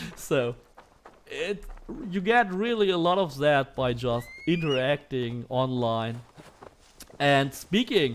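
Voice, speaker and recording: Against noticeable background noise, a man with a German accent talks at a very slow pace, his fairly high pitch carried by lively intonation. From Germany. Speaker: gaming streamer. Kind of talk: live gameplay stream commentary. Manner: casual, hesitant with fillers.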